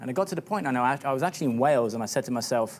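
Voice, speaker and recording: A man speaks with a British accent. His pitch is medium. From UK. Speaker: fitness business coach. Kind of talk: TV interview. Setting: TV studio.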